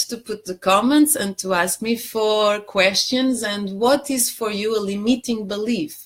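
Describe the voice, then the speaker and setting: A woman with a Portuguese accent at medium pitch and a very slow pace, on a very clean recording with a silent background. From Portugal. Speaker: life coach. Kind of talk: live stream talk. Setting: Facebook live stream.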